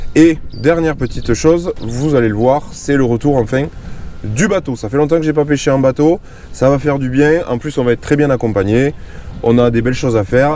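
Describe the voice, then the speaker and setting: Pitch rises and falls in an ordinary way. The delivery holds a moderate pace. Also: man. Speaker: fishing YouTuber. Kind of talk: casual vlog narration. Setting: outdoors on a boat on a lake.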